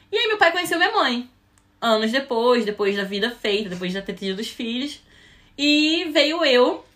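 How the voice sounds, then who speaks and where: Speaking at a moderate pace with a Rio de Janeiro accent, a woman uses a high pitch and very wide pitch swings. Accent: carioca. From Rio de Janeiro, Brazil. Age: 20s. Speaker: cruise ship crew member. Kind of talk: podcast interview.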